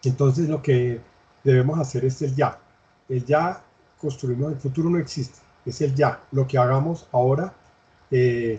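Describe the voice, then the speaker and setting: Somewhat breathy and dark, mellow in tone, a man speaks at a fairly slow pace with fairly even intonation and long, frequent pauses. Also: medium pitch for a man. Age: 60s. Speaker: interviewee, education expert. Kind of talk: interview. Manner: halting, with fillers.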